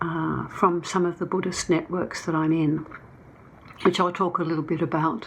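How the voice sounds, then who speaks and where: The intonation is monotone and flat, in an Australian accent. Audible room echo is present. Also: woman. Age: 70s. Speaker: documentary filmmaker. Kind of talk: conference talk. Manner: halting.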